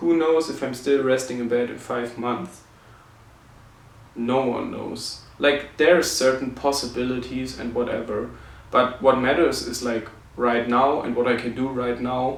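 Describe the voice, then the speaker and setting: A man with a non-native accent speaks at medium pitch and a fairly slow pace, with fairly even intonation. Audible room echo and noticeable background noise surround him. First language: not English. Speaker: vlogger with chronic illness. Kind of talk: personal reflection vlog. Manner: halting, many fillers.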